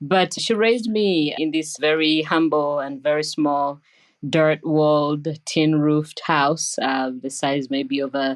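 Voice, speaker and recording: Against a quiet background, a woman with a Ugandan accent talks at a fairly slow pace in a very deep, low pitch. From Uganda, Entebbe. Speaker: nurse scientist, professor. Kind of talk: interview.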